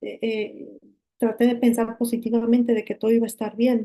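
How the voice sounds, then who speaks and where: A woman with a dark, mellow tone speaks at a moderate pace in a monotone, flat intonation. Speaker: accident survivor. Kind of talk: testimony. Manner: halting.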